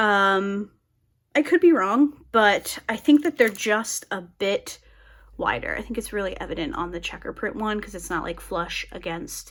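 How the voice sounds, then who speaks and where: Using a plain, everyday voice, a woman talks at a fairly slow pace and medium pitch. Her intonation is lively, and her loudness swings widely. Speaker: crafting YouTuber. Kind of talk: casual crafting tutorial chat. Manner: chatty, many fillers.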